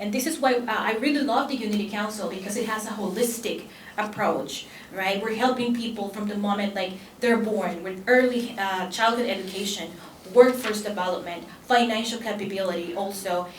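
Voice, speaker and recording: In a room with audible echo and noticeable background noise, a woman with a Spanish accent talks at a fairly quick pace with ordinary pitch variation. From El Salvador. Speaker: immigrant rights advocate and attorney. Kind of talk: conference panel talk. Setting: conference panel with audience. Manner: halting with frequent fillers.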